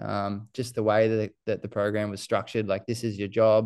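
Against a quiet background, a man with an Australian accent and a fairly low pitch speaks at a very fast pace. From New Zealand, raised in Queensland from age seven. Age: 20s. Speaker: runner. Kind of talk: casual chat. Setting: podcast interview.

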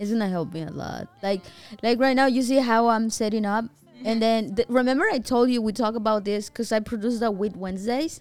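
Her pitch fairly high with ordinary variation, a woman talks at a very fast pace. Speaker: podcast host. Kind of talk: casual chat. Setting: studio.

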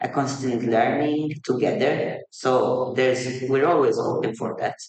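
At a fairly slow pace, a man with a Maltese accent speaks in a medium pitch. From Malta. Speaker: multidisciplinary artist. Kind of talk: casual interview. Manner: halting.

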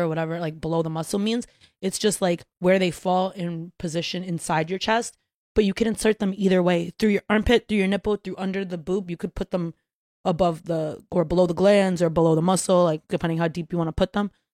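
In a normal speaking voice, a woman of medium pitch talks at a fairly quick pace with an American accent and fairly even intonation, in a very clean recording with a silent background and a dry, close sound with no echo. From Brooklyn, New York. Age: 20s. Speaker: content creator and musician. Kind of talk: casual chat.

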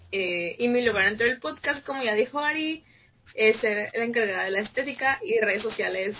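A woman speaks with lively intonation. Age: young. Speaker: podcast co-host, fashion design student. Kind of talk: casual chat.

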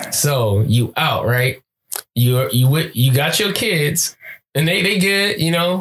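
Lively intonation marks this man's unremarkable speaking voice, pitched fairly high. He talks with an American accent. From California. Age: 20s. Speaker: podcast co-host. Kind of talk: casual chat.

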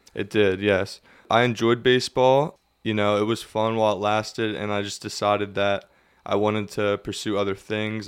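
With a Pennsylvania accent, a man talks at a moderate pace in a fairly low pitch and monotone, flat intonation. The recording is very clean, with a silent background. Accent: Pennsylvania American. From Pennsylvania, Lebanon. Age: 20s. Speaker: ultra runner and college student. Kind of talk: casual interview. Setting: studio.

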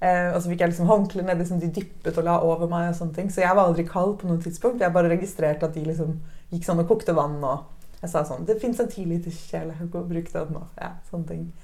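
A woman with a dark, mellow tone and fairly low pitch, fairly even intonation, a fairly quick pace with hardly any pauses, and audible room echo. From Norway. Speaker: new mother sharing birth story. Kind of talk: interview testimony.

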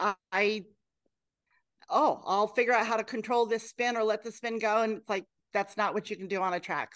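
Someone with an American accent talks at a fairly quick pace in an ordinary speaking voice, with ordinary pitch variation. The background is quiet. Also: woman. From Oregon, Willamette Valley. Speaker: pastor. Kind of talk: interview.

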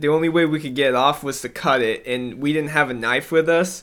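Using a normal speaking voice, a man with an American accent talks at a moderate pace. His pitch is fairly high and his intonation fairly even. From US South and Indiana. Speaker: podcast co-host. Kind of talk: casual chat.

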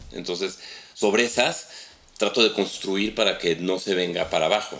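Noticeable background noise sits behind a man with a very deep, low pitch. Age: 40s. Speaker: tech business director. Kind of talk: casual chat.

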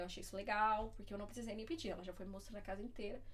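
A woman's voice comes through with audible room echo and noticeable noise in the background. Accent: Paulista. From Diadema, São Paulo, Brazil. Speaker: former au pair and student. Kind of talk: casual interview chat.

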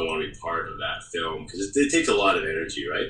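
A man talks fairly fast, and the room's echo is easy to hear. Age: 40s. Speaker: documentary director. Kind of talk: interview.

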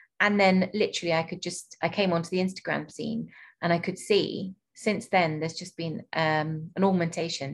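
With a British accent, a woman speaks at a fairly low pitch on a very clean recording with a silent background. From UK. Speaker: podcast host and doula. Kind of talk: interview.

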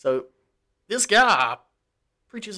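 A man with a Southern US accent speaks in a bright, sharp tone. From US South. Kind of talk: casual chat.

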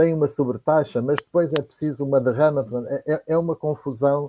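A man's dark, mellow tone with fairly even intonation, a fairly slow pace, and a dry, close sound with no echo. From Portugal, Viseu district. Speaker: panelist. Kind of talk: political discussion. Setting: online livestream. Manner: halting, repetitive.

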